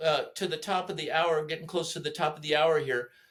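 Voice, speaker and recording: At a moderate pace, a man talks in a high pitch. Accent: American. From Southern California. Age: 60s. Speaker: podcast host. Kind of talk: casual chat. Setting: at home in his kitchen. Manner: animated.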